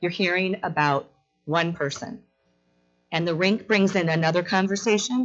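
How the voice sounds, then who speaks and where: At a moderate pace, a woman speaks with very even loudness and long, frequent pauses, her medium pitch showing ordinary variation. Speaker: resident speaking at public hearing. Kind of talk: public comment. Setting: council chamber public meeting. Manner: animated.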